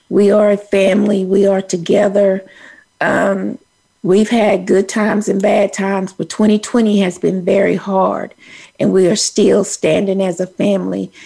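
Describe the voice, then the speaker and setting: Speaking in a Texan accent at a fairly slow pace, a woman uses a monotone, flat intonation at medium pitch, her dark, mellow tone marked by vocal fry. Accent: Texas country. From Texas. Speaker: radio host. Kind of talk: casual chat.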